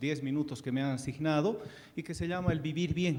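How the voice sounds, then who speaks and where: A fairly quick, somewhat breathy delivery with ordinary pitch variation. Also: man. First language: Quechua (speaking Spanish). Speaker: ambassador, panelist. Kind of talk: panel speech. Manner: hesitant, many fillers.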